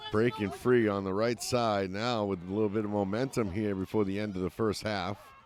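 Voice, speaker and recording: Against noticeable background noise, a man with an American accent talks fairly slowly in a fairly low pitch with fairly even intonation. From US Northeast. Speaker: sports commentator. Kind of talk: live commentary.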